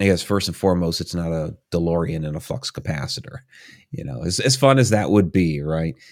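A man's very deep, low voice with lively intonation, in a very clean recording with a silent background. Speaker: author and paranormal researcher. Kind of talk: casual interview conversation. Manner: filler-heavy, conversational.

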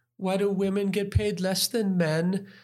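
A man with an American accent at a high pitch and moderate pace, in a very clean recording with a silent background. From Wisconsin, US Midwest. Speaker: economist. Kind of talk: interview.

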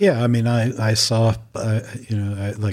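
A man's fairly low, somewhat breathy voice with a dark, mellow tone and a New York accent, in a very clean recording over a silent background. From Long Island, New York. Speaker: journalist and music critic. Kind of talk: casual interview.

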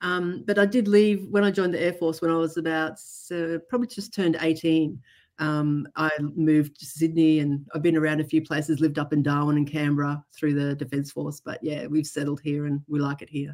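With an Australian accent, a woman speaks at a fairly quick pace in a very deep, low pitch, her pitch varying in an ordinary way. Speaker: trauma therapist. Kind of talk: interview. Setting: remote call.

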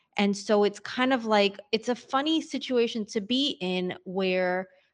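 Over a quiet background, a woman speaks with a New York accent. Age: 40s. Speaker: entrepreneur and podcaster. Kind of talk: casual interview chat. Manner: animated.

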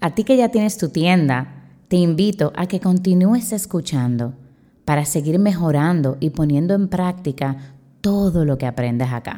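With lively intonation, a woman talks at a fairly slow pace in a fairly low pitch. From Dominican Republic. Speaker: teacher and podcast host. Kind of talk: solo podcast talk.

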